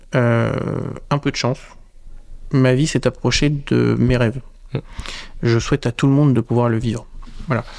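A man speaks at a medium pitch and a fairly slow pace with fairly even intonation. His loudness stays very even, and his pauses are long and frequent. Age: 30s. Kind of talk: casual interview chat.

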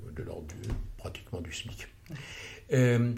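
A man speaks rather unhurriedly, his voice ringing with audible room echo. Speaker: financial consultant and former senior finance official. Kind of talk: interview, lecture-like explanation. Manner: halting, with many hesitations and repetitions; formal.

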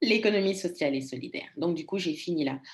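At a moderate tempo, a woman talks with a fairly low pitch. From Congo. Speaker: storytelling coach. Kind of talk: interview.

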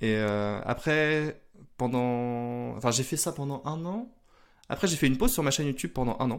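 A man with an unremarkable speaking voice, medium pitch and ordinary pitch variation, in a very clean recording with a silent background. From northern France (Lille). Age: 30s. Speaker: e-commerce entrepreneur. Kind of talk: interview.

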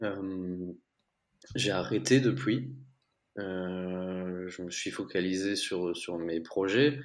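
With audible room echo, a man with a very deep, low pitch talks at a very slow pace, leaving long, frequent pauses, his pitch varying in an ordinary way and his loudness swinging widely. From Belgium. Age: 20s. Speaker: entrepreneur. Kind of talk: interview.

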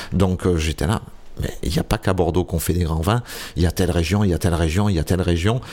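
A man speaks very fast in a very deep, low voice with a dark, mellow tone. His intonation stays fairly even and his loudness very even. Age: 50s. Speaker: wine bar owner. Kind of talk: interview.

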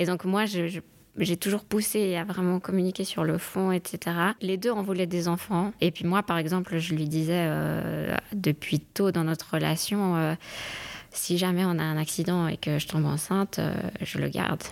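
A woman's fairly low, normal speaking voice, fairly even in intonation and fairly slow in pace. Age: 30s. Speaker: lawyer and doctoral student. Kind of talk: casual chat.

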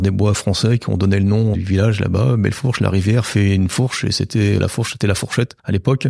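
This man has an ordinary speaking voice with a fairly low pitch. He moves at a fairly quick pace with fairly even intonation. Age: 50s. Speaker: western village owner, former IT director. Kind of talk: casual interview.

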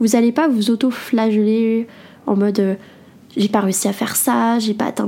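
Noticeable background noise behind a woman's fairly high-pitched voice at a moderate pace. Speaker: podcast host and entrepreneur blogger. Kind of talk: solo self-help podcast talk.

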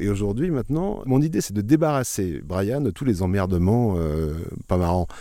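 Lively intonation marks a man speaking at a moderate pace. His fairly low voice has a dark, mellow tone. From France, Bourbonnais (Allier). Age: 50s. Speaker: new vineyard owner. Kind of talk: interview. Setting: outdoors in a vineyard.

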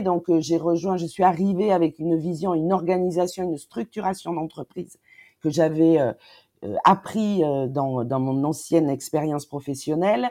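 Against a quiet background, a woman talks with a dark, mellow tone at a fairly slow pace. Her pitch is fairly low, with ordinary variation. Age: 40s. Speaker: company CEO. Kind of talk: interview. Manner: halting.

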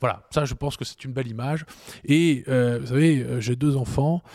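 This man's voice sits at medium pitch with a dark, mellow, somewhat breathy tone and fairly even intonation, recorded with a dry, close sound and no echo. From Strasbourg, Alsace, France. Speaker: energy policy think tank director. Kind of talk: expert interview.

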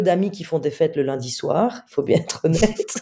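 A woman's dark, mellow voice with vocal fry, at a moderate pace. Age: 40s. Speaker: comedian and author. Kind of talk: interview.

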